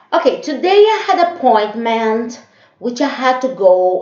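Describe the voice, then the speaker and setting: A woman speaks at a high pitch with very wide pitch swings. Audible room echo surrounds her voice. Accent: Brazilian. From Brazil. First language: Portuguese. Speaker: vlogger. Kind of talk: casual monologue vlog. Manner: hesitant, many fillers.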